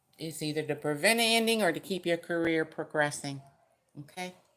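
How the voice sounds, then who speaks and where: A woman talks loudly at a moderate pace, her fairly low voice bright and sharp in tone, with ordinary pitch variation. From US West Coast, San Francisco Bay Area. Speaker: tarot reader. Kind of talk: live-stream tarot reading. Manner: casual.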